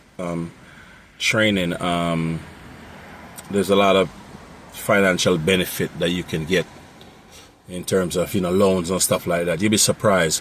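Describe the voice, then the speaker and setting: Delivered at a moderate pace in a monotone, flat intonation with long, frequent pauses, the speech comes through noticeable background noise. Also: man, very deep, low pitch for a man. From Jamaica. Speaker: mobile mechanic and road service business owner. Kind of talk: unscripted tutorial talk. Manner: casual, many fillers and repetitions.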